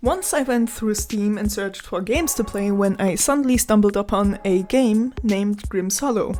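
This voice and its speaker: Music plays in the background as a woman at medium pitch talks at a moderate pace with ordinary pitch variation and hardly any pauses. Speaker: gaming video creator. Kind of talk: game review narration. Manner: shaky.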